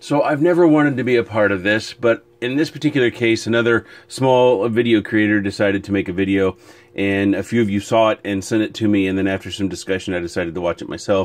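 A man with a fairly low voice talks at a very fast pace with hardly any pauses. His pitch varies in an ordinary way. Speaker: FPV drone hobbyist video creator. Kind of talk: casual chat. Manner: casual, conversational.

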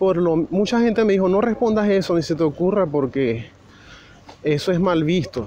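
A man talks with a high voice. Its pitch moves in an ordinary way. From Venezuela. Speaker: immigration vlogger. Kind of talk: walking vlog monologue. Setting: outdoors, walking on the street. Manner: casual, hesitant with fillers.

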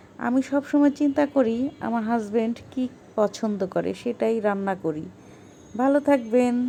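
Her voice fairly high in pitch, a woman speaks in a dark, mellow tone with ordinary pitch variation. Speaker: cooking vlogger. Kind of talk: vlog narration.

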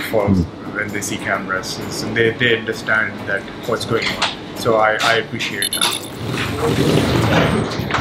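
A man at a fairly slow pace with long, frequent pauses, loud background noise around him. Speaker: food vlogger. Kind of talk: casual vlog review. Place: cafe.

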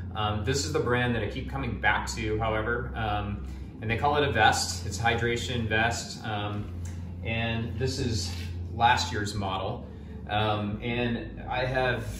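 A man's fairly low voice comes through noticeable background noise. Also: fairly slow pace. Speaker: gear reviewer. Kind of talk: product review talk. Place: home room. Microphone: camera far.

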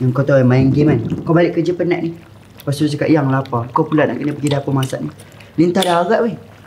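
With noticeable background noise behind him, a man speaks at a very fast pace with ordinary pitch variation. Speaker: YouTuber, cooking show host. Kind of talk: casual chat; casual banter. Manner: animated. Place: studio.

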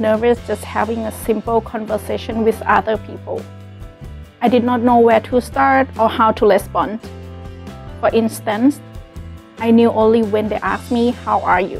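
A woman speaks at a moderate pace with a Thai accent while faint music plays in the background. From Thailand. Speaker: college student. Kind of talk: scripted personal story read. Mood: calm, earnest. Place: classroom. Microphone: lapel.

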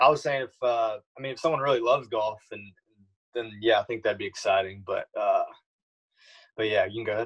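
A man talks at a very fast pace with long, frequent pauses and big swings in loudness, over a quiet background. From Louisiana. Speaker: college golfer. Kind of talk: casual interview. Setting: video call. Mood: relaxed, casual. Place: home room. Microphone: video call.

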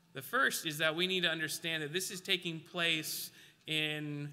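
A man talks at a moderate pace with a fairly high pitch. His tone is bright and sharp. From Alaska. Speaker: preacher. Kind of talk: sermon. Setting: church. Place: church.

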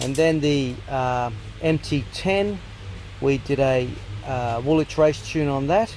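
With an Australian accent, a man talks at a very slow pace in a dry sound with no echo and light background noise. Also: ordinary pitch variation. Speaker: motorcycle vlogger. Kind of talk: casual vlog. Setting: workshop. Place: workshop. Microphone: phone near.

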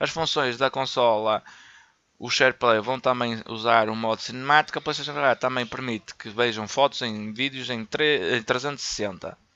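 The speech comes at a fairly slow pace in a European Portuguese accent, with a bright, sharp tone, fairly even intonation and a dry, close sound with no echo. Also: man, medium pitch for a man. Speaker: gaming YouTuber. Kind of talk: news reading; casual commentary. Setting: voice-over on gameplay footage. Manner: halting, with fillers and repetitions.

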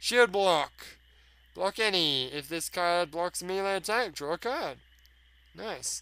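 A man's high-pitched, bright, sharp voice, very slow, with ordinary pitch variation and long, frequent pauses. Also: very clean recording, silent background. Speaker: gaming video creator. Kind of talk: let's play commentary. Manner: animated; casual, profane.

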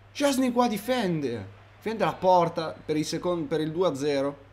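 Fairly slow speech from a man with a fairly high voice and very wide swings in pitch. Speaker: gaming YouTuber. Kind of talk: live commentary. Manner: halting, stumbling over words; animated.

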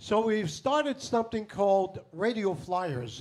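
Music plays behind the voice. The speaker is a man. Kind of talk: stage patter to audience. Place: stage. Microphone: handheld.

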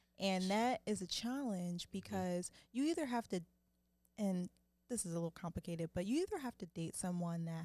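This woman has a fairly low pitch and a dark, mellow tone, with ordinary pitch variation and a dry sound with no echo. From Philadelphia, US. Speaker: actress. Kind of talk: casual chat. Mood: reflective, relaxed. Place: studio. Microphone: studio mic.

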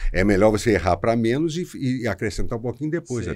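A man talks very fast, his pitch swinging very widely. The background is quiet. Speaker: podcast guest, actor. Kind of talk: interview answer. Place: studio. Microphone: studio mic.

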